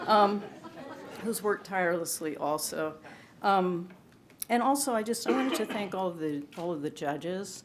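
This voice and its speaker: Her medium-pitched voice has lively intonation and a moderate pace, broken by long, frequent pauses. The woman's recording carries audible room echo. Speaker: poet, award winner. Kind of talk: award acceptance speech; introducing a poetry reading. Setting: stage with audience at ceremony. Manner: halting, many fillers.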